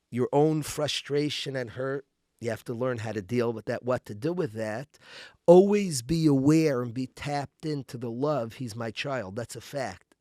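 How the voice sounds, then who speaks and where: At a moderate pace, a man with a medium pitch and a dark, mellow tone speaks with ordinary pitch variation, in a dry, close sound with no echo on a very clean recording with a silent background. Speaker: rabbi. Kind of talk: interview. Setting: studio.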